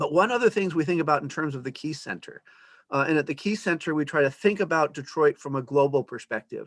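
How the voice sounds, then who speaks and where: A man talks at a very fast pace in a fairly high pitch with ordinary pitch variation, in a dry, close sound with no echo. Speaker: academic presenter. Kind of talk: lecture. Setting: video call.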